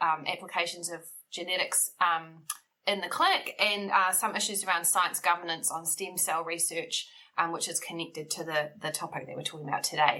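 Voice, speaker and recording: With a New Zealand accent, a woman talks at a moderate pace in a fairly low pitch and a monotone, flat intonation. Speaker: bioethics researcher. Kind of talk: interview. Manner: frequent ums, thoughtful pauses.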